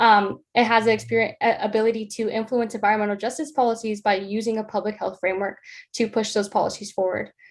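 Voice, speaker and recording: Very fast speech in an American accent, monotone and flat, against a quiet background. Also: woman, fairly high pitch for a woman. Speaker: honors student presenter. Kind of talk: research presentation.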